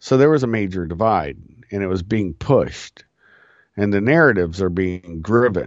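A man with an American accent and a normal speaking voice, fairly low in pitch, lively intonation at a moderate pace. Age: 50s. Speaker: podcast host. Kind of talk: political commentary monologue. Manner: casual, conversational.

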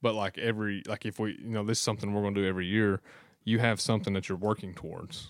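In a very clean recording with a silent background, a man with an Appalachian accent talks very fast at a fairly low pitch, his intonation monotone and flat. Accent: Appalachian Kentucky. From southeastern Kentucky. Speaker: hunter. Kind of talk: casual chat.

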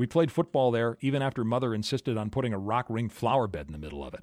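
Talking at a very fast pace with an Upper Midwest accent, a man shows ordinary pitch variation. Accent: Upper Midwest American. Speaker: podcaster and music blogger. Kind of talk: scripted narration.

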